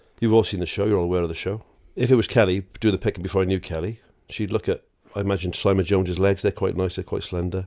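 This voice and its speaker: A man in a Welsh accent, very deep and low-pitched, dark and mellow in tone, monotone and flat in intonation, at a very fast pace. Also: very clean recording, silent background. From Wales. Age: 40s. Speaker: podcast co-host. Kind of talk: casual chat.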